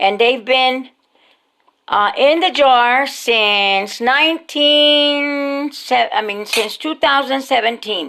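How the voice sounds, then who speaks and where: A woman with a high, bright and sharp voice projects loudly, speaking at a very slow pace with lively intonation. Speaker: home cooking channel host. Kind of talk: cooking tutorial. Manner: casual, halting with fillers.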